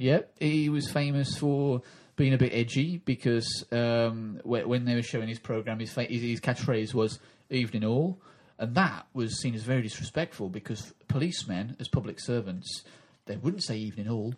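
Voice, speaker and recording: Ordinary pitch variation marks this man's speech, delivered with an English accent. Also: medium pitch for a man, moderate pace. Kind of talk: comedic podcast chat.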